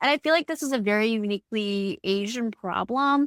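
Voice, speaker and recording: In a Midwestern US accent, a woman with a fairly high pitch speaks with lively intonation in a dry, close sound with no echo. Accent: US Midwest. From Indiana (US Midwest). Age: adult. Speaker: podcast co-host. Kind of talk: casual chat.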